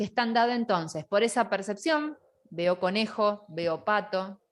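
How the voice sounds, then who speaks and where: Her pace is moderate. The woman's pitch ranges very widely as she speaks. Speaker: online course teacher. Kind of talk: lecture. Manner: loud.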